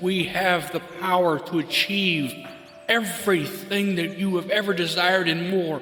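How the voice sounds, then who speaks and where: Over music in the background, a man speaks at a high pitch and a fairly slow pace, his intonation fairly even. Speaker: podcast host, spiritual mentor and life coach. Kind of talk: podcast monologue, impassioned spiritual and peace message.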